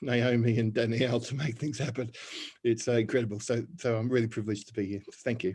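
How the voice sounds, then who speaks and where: In an Australian accent, a man speaks at medium pitch with a monotone, flat intonation. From Australia (Melbourne). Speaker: church minister and community leader. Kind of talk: panel discussion self-introduction. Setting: video call.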